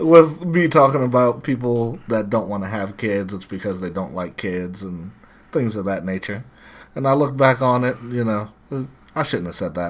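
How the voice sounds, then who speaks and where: A man mumbles at a moderate pace, fairly low in pitch, with lively intonation. The recording is very clean and the background silent. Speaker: podcast co-host. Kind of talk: casual chat. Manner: mumbling.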